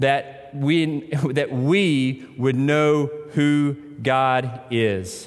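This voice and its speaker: Audible room echo surrounds a man with a Tennessee accent. His pitch is fairly high. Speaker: pastor. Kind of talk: sermon.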